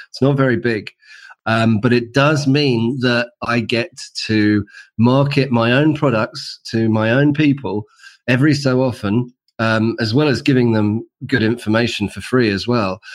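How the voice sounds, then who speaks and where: A man with a medium pitch speaks at a fairly slow pace, keeping his intonation fairly even. The recording is very clean, with a silent background. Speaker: author, designer and entrepreneur. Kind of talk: interview.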